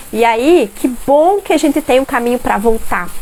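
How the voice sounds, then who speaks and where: A woman's animated delivery rises and falls with lively intonation as background noise remains clearly audible. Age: 30s. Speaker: parenting educator. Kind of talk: live stream talk. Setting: live stream at home.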